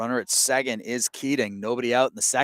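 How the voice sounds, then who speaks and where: With a dry, close sound and no echo, a man speaks at a moderate pace using ordinary pitch variation. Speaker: play-by-play sports announcer. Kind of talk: live sports commentary. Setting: outdoors at a high school ballgame.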